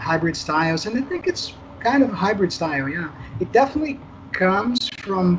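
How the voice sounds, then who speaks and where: Over noticeable background noise, a voice in a Portuguese accent moves at a moderate pace with lively intonation. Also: man. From Brazil. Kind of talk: casual interview.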